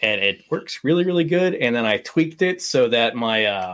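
With an American accent, a man uses an ordinary speaking voice, lively intonation and a moderate pace. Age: 20s. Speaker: airsoft player. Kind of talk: casual chat.

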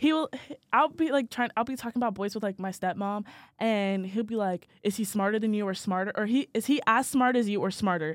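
Fairly quick speech from a woman with a fairly high pitch, a normal speaking voice and ordinary pitch variation, on a very clean recording with a silent background. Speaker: college student podcast co-host. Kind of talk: casual chat.

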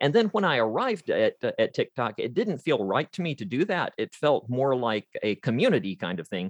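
Vocal fry and very wide pitch swings mark this American accent. The moderate pace sounds dry and close, with no echo. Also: man, fairly high pitch for a man, quiet background. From Georgia, US South. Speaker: author and voiceover artist. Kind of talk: interview. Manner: halting.

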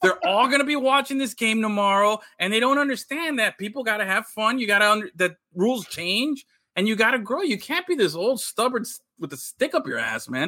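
Raising and projecting his voice, a man speaks at a fairly quick pace with a high pitch, lively intonation and a bright, sharp tone. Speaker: podcast co-host. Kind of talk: casual chat. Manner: loud.

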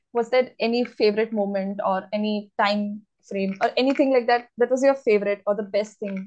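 A woman talks at a fairly quick pace with hardly any pauses. Her pitch is fairly high and her intonation fairly even. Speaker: book podcast host interviewing an author. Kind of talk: interview. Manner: fast.

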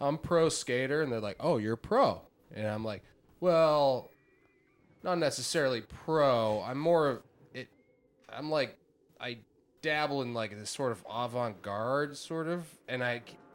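Speaking at a fairly slow pace with long, frequent pauses, a man keeps a medium pitch and ordinary pitch variation. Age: 30s. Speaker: podcast host. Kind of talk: casual chat.

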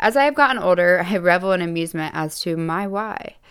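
A woman with a plain, everyday voice and a fairly low pitch. The recording is very clean, with a silent background. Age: 20s. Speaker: podcast host and fashion model. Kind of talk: scripted monologue; casual solo talk.

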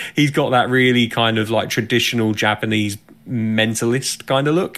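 With an English accent, a man talks at a medium pitch with ordinary pitch variation. His loudness stays very even. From England. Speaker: podcast co-host. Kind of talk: casual chat.

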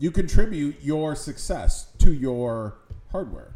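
A man speaks with an American accent at a fairly high pitch. His voice is somewhat breathy, with very wide pitch swings. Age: 40s. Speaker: podcast host. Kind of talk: casual chat.

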